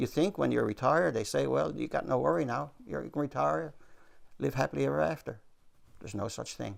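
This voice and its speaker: With a Newfoundland accent, a man talks at a fairly quick pace in a very deep, low pitch, with vocal fry and very wide pitch swings. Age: 70s. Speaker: retired retail worker. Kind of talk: news interview.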